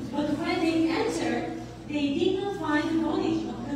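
Against noticeable background noise and strong room echo, a woman speaks at a fairly slow pace in an extremely high pitch. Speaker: concert narrator. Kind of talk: scripture reading narration. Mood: solemn, reverent. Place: church. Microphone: camera far.

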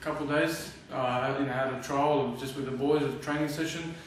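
In a room with audible echo and light background noise, a man talks at a fairly quick pace with a fairly high pitch and fairly even intonation. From Australia. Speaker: professional footballer. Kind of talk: interview answer. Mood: relaxed, friendly. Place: home room.

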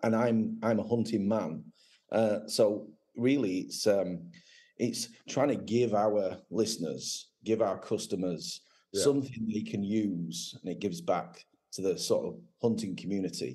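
With an English accent, a man speaks in a dark, mellow tone at a fairly low pitch with ordinary pitch variation. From England. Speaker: gun dog website owner and former trialer. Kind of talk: casual interview chat. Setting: video call.

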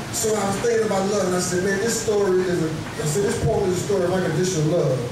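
Words rush out at a very fast pace, with strong room echo and noticeable background noise. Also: man. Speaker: spoken-word poet. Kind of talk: spoken-word poetry performance. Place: cafe. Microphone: camera far.

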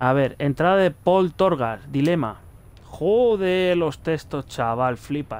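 Speaking very slowly with a Castilian accent, a man uses lively intonation in a fairly high voice. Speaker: gaming youtuber. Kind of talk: let's play commentary. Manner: animated.

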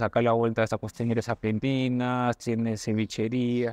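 A man speaks with a Peruvian accent. The background is quiet and the sound is dry with no echo. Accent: Peruvian Spanish (Lima). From Peru, Lima (Barranco). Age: 40s. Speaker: restaurant owner, economist; interview guest. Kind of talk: interview. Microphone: lapel.

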